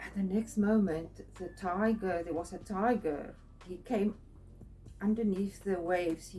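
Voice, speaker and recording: A woman with a non-native accent speaks at a fairly slow pace with a medium pitch. Her intonation stays fairly even while her loudness swings widely. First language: not English. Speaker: spiritual artist and video creator. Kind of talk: personal storytelling monologue. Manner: halting, many fillers.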